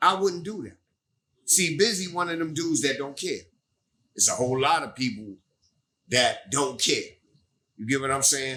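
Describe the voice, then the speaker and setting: The tone is bright and sharp. Intonation rises and falls in a lively way. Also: man. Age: 60s. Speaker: pioneer rapper. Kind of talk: casual interview. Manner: animated.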